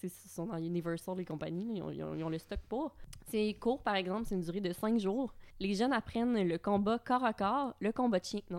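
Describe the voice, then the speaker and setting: Speaking at a moderate pace, a woman uses an ordinary speaking voice with medium pitch and ordinary pitch variation. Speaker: podcast co-host. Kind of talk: casual chat.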